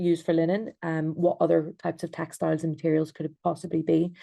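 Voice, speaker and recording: Speaking at a fairly quick pace in an Irish accent, a woman has a fairly low pitch and a dark, mellow tone. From Ireland. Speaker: textile designer and researcher. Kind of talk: online presentation. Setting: video call. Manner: hesitant, many ums.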